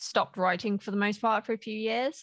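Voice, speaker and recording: Against a quiet background, a woman with an ordinary speaking voice talks at a fairly quick pace with fairly even intonation. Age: 30s. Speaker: author and writing coach. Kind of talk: casual interview.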